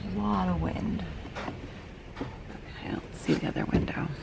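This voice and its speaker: A man talks quietly at a fairly slow pace, with audible room echo and noticeable background noise. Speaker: RV travel vlogger. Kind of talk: casual vlog talk. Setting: inside a camper.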